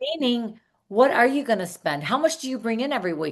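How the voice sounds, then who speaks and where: A woman talks with a normal speaking voice and lively intonation. Her pace is fairly quick. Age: 60s. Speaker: salon coach and hairstylist. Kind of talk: podcast interview.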